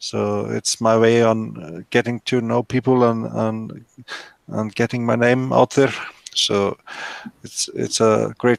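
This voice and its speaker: Recorded dry and close with no echo, a man with an Icelandic accent talks at a very slow pace. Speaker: 3D printing YouTuber. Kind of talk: casual group video hangout. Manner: halting, many fillers.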